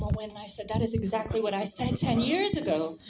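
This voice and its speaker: A woman with an American accent speaks at a very fast pace in a fairly high pitch. Music plays in the background. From United States. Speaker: audience member speaking at assembly. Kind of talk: audience speech at political meeting.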